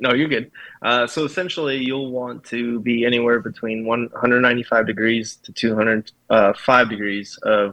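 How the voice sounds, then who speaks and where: In an ordinary speaking voice, a man with an American accent talks at medium pitch. His pace is fairly slow and his intonation fairly even. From US Midwest, Kansas, army brat. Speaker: army veteran and coffee roaster. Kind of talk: interview.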